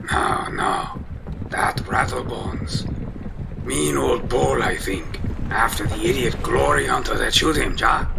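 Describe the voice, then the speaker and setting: Loud background noise runs under the recording. A man speaks fairly slowly in a put-on character voice. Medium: read story. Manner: casual, clipped broken grammar.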